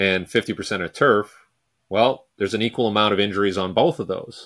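A man with a Canadian accent talks at medium pitch in an ordinary speaking voice, on a very clean recording with a silent background. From Vancouver, Canada. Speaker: sports speed coach. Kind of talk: casual interview.

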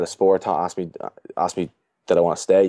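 This man's voice is very deep and low, with a dark, mellow tone. He talks at a very fast pace. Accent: Dublin. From Ireland, Dublin. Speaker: strength and conditioning coach. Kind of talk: casual chat.

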